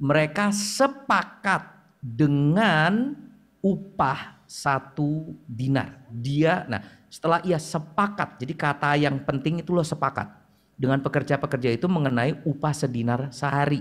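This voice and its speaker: The recording is very clean, with a silent background. A man talks fairly slowly in a fairly high, somewhat breathy voice. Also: ordinary pitch variation. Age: 40s. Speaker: preacher. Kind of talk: sermon. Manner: casual, halting with fillers.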